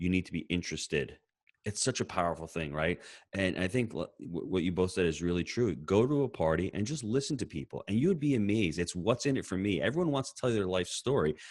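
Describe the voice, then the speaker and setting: A very fast man with a New York accent, his very deep, low voice making very wide pitch swings, on a very clean recording with a silent background. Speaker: podcast co-host. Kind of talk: podcast interview.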